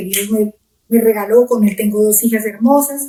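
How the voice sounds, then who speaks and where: A woman with a plain, everyday voice speaks at a fairly high pitch and a fairly slow pace, her intonation fairly even. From Colombia, Pitalito, Huila. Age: middle-aged. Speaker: pastor. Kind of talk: testimony.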